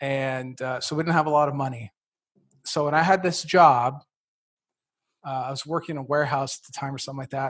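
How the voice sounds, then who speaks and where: A somewhat breathy voice against a quiet background. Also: man. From Italian immigrant family. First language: Italian. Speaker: real estate investor. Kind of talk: interview.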